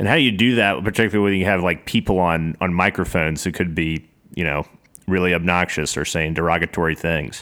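Speaking with a Southern US accent, a man with a very deep, low pitch talks at a very fast pace with ordinary pitch variation. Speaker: podcast host. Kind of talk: casual interview.

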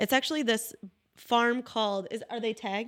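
Here is an unremarkable speaking voice from a woman, fairly high in pitch. Her intonation is fairly even on a very clean recording with a silent background. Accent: American. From Wellsville area, US. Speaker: photographer. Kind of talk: casual chat.

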